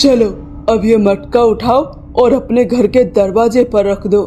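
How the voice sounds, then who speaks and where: A cartoonish character voice, fairly high and menacing in tone, at a moderate pace against clear background noise. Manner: menacing, domineering.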